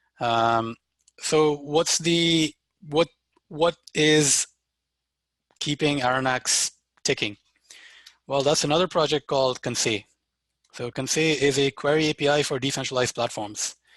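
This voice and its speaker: A man speaks at a fairly high pitch and a fairly slow pace, with fairly even intonation and long, frequent pauses. The background is quiet, and the sound is dry and close with no echo. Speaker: developer workshop presenter. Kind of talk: live software demo tutorial. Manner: casual with fillers.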